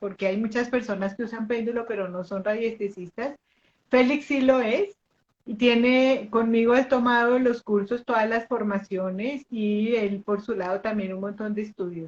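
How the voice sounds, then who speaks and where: A woman's fairly high voice at a fairly slow pace, with ordinary pitch variation. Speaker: pendulum teacher and live host. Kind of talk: live online interview introduction. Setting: live video stream. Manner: conversational, with fillers.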